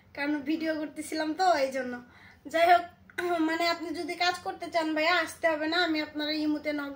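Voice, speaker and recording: A woman with monotone, flat intonation over light background noise. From Bangladesh. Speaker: YouTuber doing prank phone calls. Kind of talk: prank phone call, casual. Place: home room. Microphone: phone near.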